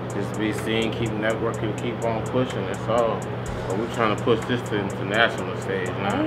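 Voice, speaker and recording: Music plays behind the speaker. He is a man talking at a fairly quick pace. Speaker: DJ. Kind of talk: interview answer. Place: hall.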